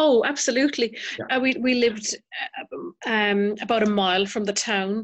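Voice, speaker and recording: Moderate-paced speech in a Cork accent with ordinary pitch variation. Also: woman, fairly high pitch for a woman. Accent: Irish (Cork). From County Cork, Ireland. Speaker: mother and pro-life advocate. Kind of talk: casual interview chat. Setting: evening at home, children in background.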